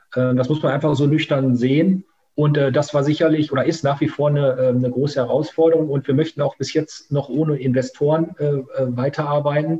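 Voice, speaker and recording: A man's somewhat breathy, dark, mellow voice runs at a fairly quick pace with hardly any pauses, very even loudness and monotone, flat intonation. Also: fairly high pitch for a man. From Münsterland, Germany. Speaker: company founder. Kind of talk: interview. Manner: hesitant, many fillers.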